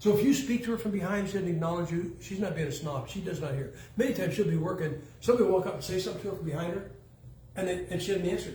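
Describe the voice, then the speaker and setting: A man talks very fast with a high pitch and ordinary pitch variation. Noticeable background noise and audible room echo are present. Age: 70s. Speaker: preacher. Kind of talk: sermon. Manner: casual, joking.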